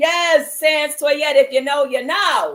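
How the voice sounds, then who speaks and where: At a fairly slow pace, a woman with a high pitch speaks in an animated tone with lively intonation. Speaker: actor and mindfulness livestream host. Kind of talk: live-streamed mindfulness chat. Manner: loud.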